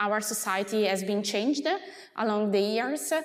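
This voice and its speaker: A woman talks at a fairly high pitch, with noticeable background noise and audible room echo. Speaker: associate professor. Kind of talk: lecture. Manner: hesitant, many filler sounds.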